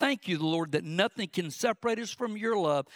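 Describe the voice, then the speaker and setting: A man with a Southern US accent speaks with lively intonation. The recording is very clean and dry, close with no echo and a silent background. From South Georgia, US. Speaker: preacher. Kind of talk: sermon. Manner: fast talker.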